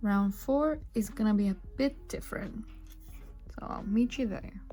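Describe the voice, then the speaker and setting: With music in the background, a woman in a non-native accent speaks at a very slow pace and a fairly high pitch, using ordinary pitch variation. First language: not English. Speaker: crochet designer. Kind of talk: tutorial narration.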